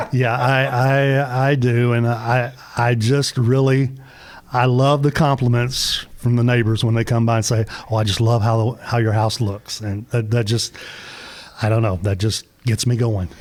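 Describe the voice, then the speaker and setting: A man in a Tennessee accent speaks fairly slowly at a medium pitch, with fairly even intonation and very even loudness. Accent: Southern US (Tennessee). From US South, northern Middle Tennessee. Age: 60s. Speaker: small business owner, Christmas light installer. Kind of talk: radio interview.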